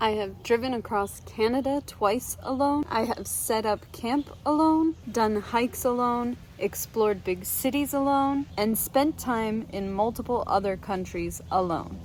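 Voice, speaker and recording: A woman speaks in an ordinary speaking voice at a fairly high pitch with ordinary pitch variation. She keeps a fairly slow pace with hardly any pauses. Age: 40s. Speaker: travel vlogger. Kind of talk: casual talk to camera.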